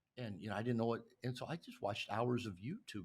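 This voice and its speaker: A man talks very fast in a somewhat breathy voice. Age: 60s. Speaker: author and men's coach. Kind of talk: podcast interview. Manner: halting, many repeated words.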